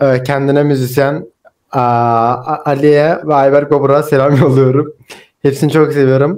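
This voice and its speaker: The man's voice is fairly high and monotone, with flat intonation. The background is quiet. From Turkey. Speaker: student; guest. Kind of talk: casual chat. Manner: halting. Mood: warm, grateful, smiling. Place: home room.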